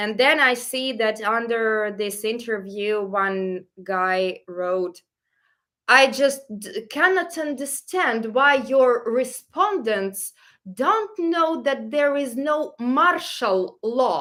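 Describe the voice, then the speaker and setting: In a very clean recording with a silent background, a woman with a Ukrainian accent speaks very slowly in a high, bright, sharp voice with lively intonation. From Ukraine. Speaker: travel vlogger. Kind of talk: live Q&A stream. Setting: livestream. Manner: halting.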